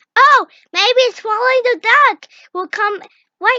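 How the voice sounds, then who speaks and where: Here is a squeaky, cartoonish character voice with an extremely high pitch. It moves at a moderate pace. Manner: enthusiastic.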